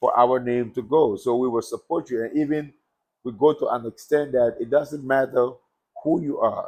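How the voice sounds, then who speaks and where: Speaking with an American accent at a moderate pace, a man uses a fairly high pitch, fairly even intonation and a dark, mellow tone. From Liberia. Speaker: former boxer. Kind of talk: interview.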